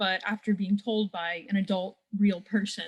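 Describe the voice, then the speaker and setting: Fairly slow and somewhat breathy, the speech keeps a fairly even intonation. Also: woman. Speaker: audience participant. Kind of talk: question from audience.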